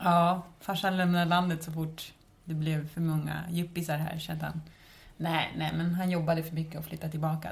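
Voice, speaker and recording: A woman speaks in a fairly low, somewhat breathy voice with monotone, flat intonation. Audible room echo surrounds her. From Stockholm suburbs, Sweden. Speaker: podcast host. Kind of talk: casual chat.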